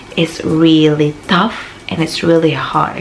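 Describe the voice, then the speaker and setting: A woman with a Filipino accent speaks at a very deep, low pitch. Noticeable background noise is present. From Philippines. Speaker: vlogger. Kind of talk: casual advice vlog.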